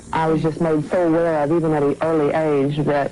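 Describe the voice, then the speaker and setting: A woman with an American accent speaks at a very deep, low pitch. Her intonation is flat and monotone, with noticeable background noise. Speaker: bodybuilder. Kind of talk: interview.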